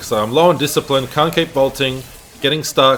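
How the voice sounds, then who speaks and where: A man with an Australian accent at medium pitch and a fairly quick pace, over noticeable background noise. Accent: Australian, noticeable in pronunciation. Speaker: gaming video creator and streamer. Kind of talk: gameplay tutorial commentary. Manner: casual, unscripted, some hesitations.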